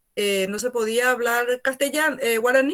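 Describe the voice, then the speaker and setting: In a Paraguayan accent, a woman with a fairly high pitch talks at a moderate pace with ordinary pitch variation. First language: Guarani (speaking Spanish). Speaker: university teacher. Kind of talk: lecture.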